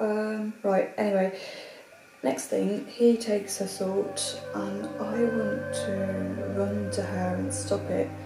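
A woman's very slow speech is set against clear background music. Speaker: actor in a drama scene. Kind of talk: acted phone call, telling a dream. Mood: troubled, distressed. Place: home room.

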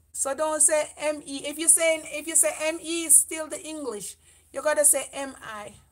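High in pitch, a woman talks with a Jamaican accent. Her pace is moderate. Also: fairly even intonation, quiet background. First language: Jamaican Patois. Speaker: beauty vlogger. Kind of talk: livestream chat. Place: home room. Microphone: camera far.

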